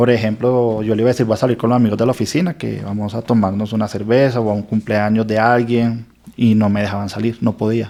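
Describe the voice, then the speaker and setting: The speech comes very fast with hardly any pauses, in a dark, mellow tone and monotone, flat intonation. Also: man, medium pitch for a man. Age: 40s. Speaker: lawyer. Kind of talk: testimony.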